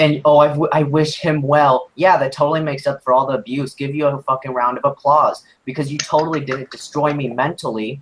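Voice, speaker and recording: A man with a fairly high, somewhat breathy voice talks at a fairly quick pace with hardly any pauses. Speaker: youtuber streaming about abusive ex. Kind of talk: livestream rant. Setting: livestream. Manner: animated.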